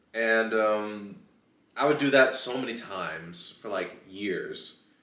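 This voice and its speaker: A man speaks with an American accent at a medium pitch. His intonation is fairly even, and audible room echo surrounds him. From United States. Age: 20s. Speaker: YouTuber. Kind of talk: casual chat. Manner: hesitant, many fillers.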